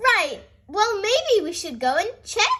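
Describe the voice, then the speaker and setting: In a put-on character voice, a woman speaks very slowly at an extremely high pitch. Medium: read story.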